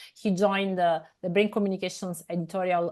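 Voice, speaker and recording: With an Italian accent, a woman talks at a moderate pace and fairly low pitch. Her intonation stays fairly even over a quiet background. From Italy. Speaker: scientific editor and interviewer. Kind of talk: interview. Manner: hesitant, many fillers.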